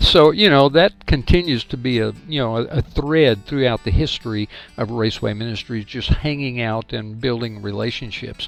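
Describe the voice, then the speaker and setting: With music in the background, a man talks at a fairly quick pace in a medium pitch with ordinary variation. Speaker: ministry director and podcast host. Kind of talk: podcast interview question.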